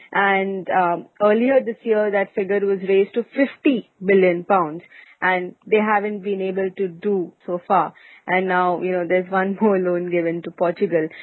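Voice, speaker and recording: Fairly even intonation and a moderate pace in a normal speaking voice. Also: woman, medium pitch for a woman. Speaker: podcast host. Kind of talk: casual business news discussion.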